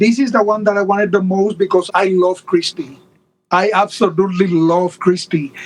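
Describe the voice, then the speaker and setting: A man with a Puerto Rican accent speaks at a high pitch, his loudness very even and his intonation fairly even. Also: moderate pace. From Puerto Rico. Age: 50s. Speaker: doll collector. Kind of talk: casual interview chat.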